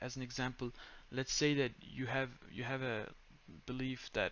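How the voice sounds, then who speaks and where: His pitch stays medium. This man talks at a moderate pace. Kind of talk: casual tutorial talk to camera. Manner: monotone.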